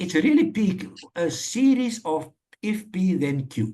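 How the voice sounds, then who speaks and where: Very wide pitch swings in a man's somewhat breathy voice. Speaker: maths course facilitator. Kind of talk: online lecture.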